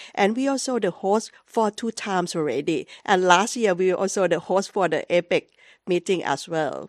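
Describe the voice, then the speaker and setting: A woman with a Thai accent speaks at a medium pitch and moderate pace, with ordinary pitch variation and big swings in loudness. The sound is dry and close with no echo over a quiet background. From Thailand. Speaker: journalist. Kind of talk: panel discussion. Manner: halting.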